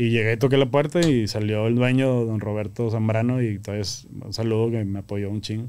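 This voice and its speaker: The man talks at a moderate pace with hardly any pauses. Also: fairly even intonation. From Monterrey, northern Mexico; Mexico. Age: 30s. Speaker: grilling association founder; podcast guest. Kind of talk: casual chat. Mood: relaxed, casual. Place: studio. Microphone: studio mic.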